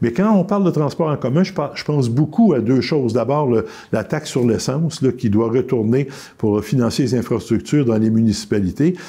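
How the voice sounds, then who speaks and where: The man's tone is dark and mellow at a medium pitch. His intonation is lively. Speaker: politician. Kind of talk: interview. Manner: fast.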